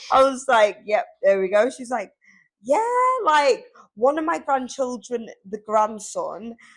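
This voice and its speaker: A woman with a Liverpool accent talks in an animated tone at a high pitch, pausing often and at length. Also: lively intonation, fairly slow pace. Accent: Scouse (Liverpool). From Liverpool, England. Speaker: podcast co-host, salesperson. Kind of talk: casual chat.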